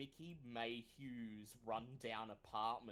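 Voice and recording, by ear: Someone reads aloud here in a natural voice.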